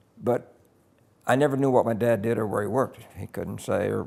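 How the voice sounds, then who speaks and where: At a moderate pace, a man with an American accent shows vocal fry, a medium pitch and ordinary pitch variation. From US Midwest (Kansas, Oklahoma, New Mexico). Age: 80s+. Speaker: veteran broadcaster. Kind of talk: interview, life story recollection.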